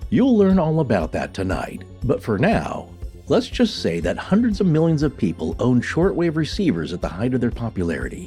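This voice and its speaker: Music plays behind a man of medium pitch who talks fairly quickly with very wide pitch swings. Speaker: podcast co-host. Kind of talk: podcast episode intro narration.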